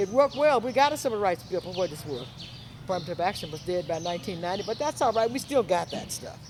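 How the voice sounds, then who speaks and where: A woman with an American accent talks at a very fast pace. Her medium pitch swings very widely. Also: big swings in loudness. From US South. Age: 70s. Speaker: talk show host. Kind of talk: interview.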